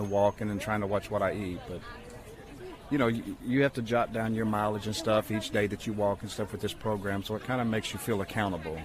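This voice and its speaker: Spoken at a very fast pace with fairly even intonation, this voice has crowd noise in the background. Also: man. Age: 60s. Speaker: teacher. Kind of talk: radio interview. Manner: casual.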